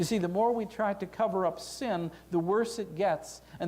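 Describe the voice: Someone does plain reading aloud. Their pitch shifts by ordinary amounts.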